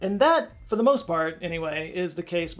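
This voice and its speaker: A man at a very fast pace, with faint music in the background. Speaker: science video host. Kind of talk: educational commentary. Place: studio.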